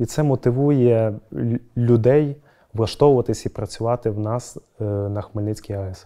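Speaking at a fairly slow pace with long, frequent pauses, a man uses a medium pitch and a dark, mellow tone, keeping his intonation fairly even against a quiet background. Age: 20s. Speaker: youth union leader at a power plant. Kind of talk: interview. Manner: formal. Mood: calm, earnest. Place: hall. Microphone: lapel.

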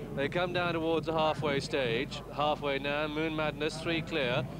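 A man with a British accent talks at a moderate pace and a fairly high pitch. His intonation stays fairly even over noticeable background noise. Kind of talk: live horse race commentary. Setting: racecourse commentary box, broadcast. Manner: British, precise and clipped, with chatty asides mid-race.

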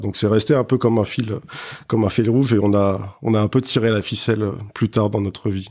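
In a very clean recording with a silent background, a man speaks in a fairly low, dark, mellow voice with ordinary pitch variation. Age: 40s. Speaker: spirits brand co-founder. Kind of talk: interview. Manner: halting, many fillers and repetitions.

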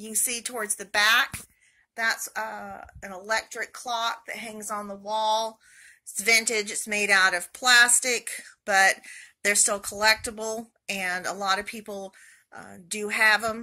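A woman speaks at a fairly slow pace. Her tone is bright and sharp, with fairly even intonation. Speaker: reseller showing purchases. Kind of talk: haul video commentary. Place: home room. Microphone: phone near.

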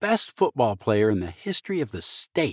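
A man talks at a moderate pace with vocal fry and very wide pitch swings. The sound is dry and close with no echo, in a very clean recording with a silent background. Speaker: war veteran; voice actor. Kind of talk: short story reading.

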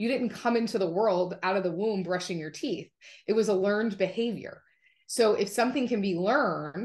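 A woman talks at a fairly quick pace with ordinary pitch variation against a quiet background. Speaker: podcast guest. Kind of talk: interview answer. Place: home room. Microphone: video call.

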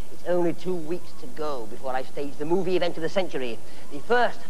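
Over light background noise, a man talks at a fairly quick pace in a high pitch with lively intonation. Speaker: TV horror host. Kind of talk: horror host intro. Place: studio.

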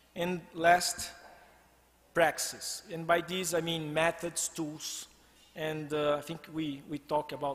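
In a Brazilian accent, a man speaks fairly slowly with a high pitch and a flat, monotone delivery. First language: Portuguese. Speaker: design researcher and former PhD student. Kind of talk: presentation. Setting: stage with audience. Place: hall. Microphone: podium.

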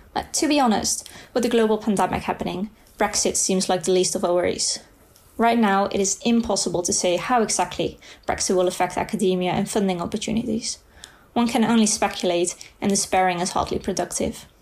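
A woman's medium-pitched voice in a Dutch accent, at a fairly quick pace, with fairly even intonation and very even loudness. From Netherlands. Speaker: student. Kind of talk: reading aloud.

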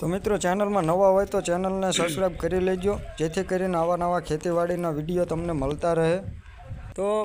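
Here a man speaks with a high pitch. His intonation is fairly even and his loudness very even. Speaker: farmer and video blogger. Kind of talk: casual vlog narration. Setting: outdoors in a farm field.

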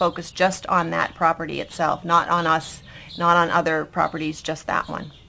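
A woman with an American accent, a fairly low pitch and a fairly quick pace. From Boston, US Northeast. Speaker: real estate agent. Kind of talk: interview.

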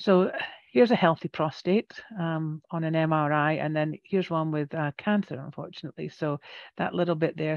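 With a Scottish accent, a woman speaks in a very deep, low pitch and fairly even intonation, the sound dry with no echo. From Scotland. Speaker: radiation therapist. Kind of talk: educational presentation to a support group. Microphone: headset.

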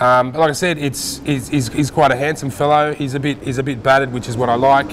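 A man talking at a very fast pace over light background noise. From Australia. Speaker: auction house specialist. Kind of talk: casual conversational podcast banter about auction items. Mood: amused, affectionate. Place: hall. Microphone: lapel.

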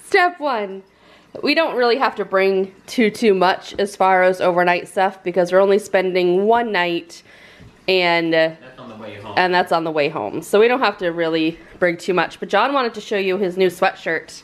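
Here is a plain, everyday voice from a woman at a medium pitch. She talks at a moderate pace with ordinary pitch variation. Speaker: family vlogger. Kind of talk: casual vlog chat. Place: home room. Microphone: phone near.

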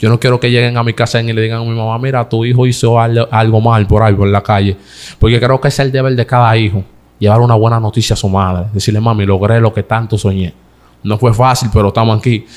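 The delivery is very fast. Its intonation stays monotone and flat. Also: man, medium pitch for a man. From Dominican Republic, San Isidro, Santo Domingo Este; Dominican Republic. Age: 20s. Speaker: comedian. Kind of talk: interview. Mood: earnest, emotional at times. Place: studio. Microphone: studio mic.

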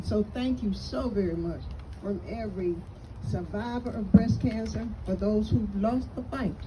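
Amid noticeable background noise, a woman talks at a moderate pace with an American accent. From North Carolina (Kannapolis); North Carolina. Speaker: retired school principal; guest. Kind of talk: speech to an audience. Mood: grateful, heartfelt. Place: open country.

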